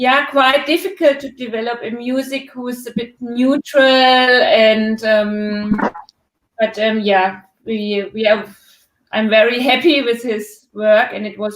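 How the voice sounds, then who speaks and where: A woman with a strong German accent, fairly high pitch and ordinary pitch variation, speaking at a very slow pace. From Germany. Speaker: documentary filmmaker. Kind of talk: live Q&A interview. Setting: online live stream. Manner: hesitant, many fillers.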